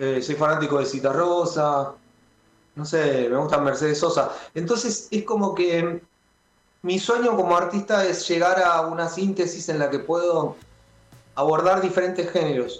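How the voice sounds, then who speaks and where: Here a man speaks in a high voice. His pace is fairly slow, and his pitch varies in an ordinary way. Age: 30s. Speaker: rock musician and music producer. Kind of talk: radio interview. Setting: remote call into radio show.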